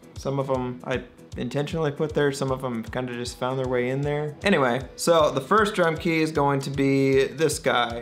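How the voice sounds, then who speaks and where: Music plays in the background. The speaker talks at a moderate pace with ordinary pitch variation. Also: man. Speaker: drummer and vlogger. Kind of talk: casual vlog. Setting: indoors, raining outside. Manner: casual, hesitant with repetitions.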